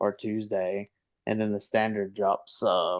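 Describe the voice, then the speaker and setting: Over a quiet background, a man with a Southern US accent speaks slowly-ish, at a fairly slow pace and fairly low pitch. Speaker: fantasy football podcast co-host. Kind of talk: casual chat.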